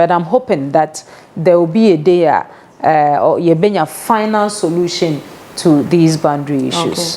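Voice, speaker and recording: A woman speaks at a fairly low pitch. Noticeable background noise runs underneath. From Ghana, Central Region. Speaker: local government official. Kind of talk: interview.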